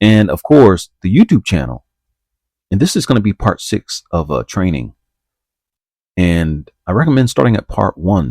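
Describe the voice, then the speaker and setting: In a dark, mellow tone, a man speaks at a moderate pace on a very clean recording with a silent background and a dry, close sound with no echo. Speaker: trading educator. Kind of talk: tutorial.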